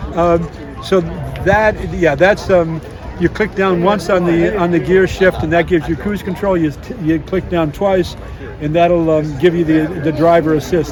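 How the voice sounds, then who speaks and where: Against crowd noise in the background, a man speaks at a high pitch. His pace is moderate and his intonation fairly even. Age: 70s. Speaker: vehicle owner. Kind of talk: casual interview. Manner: halting, many fillers.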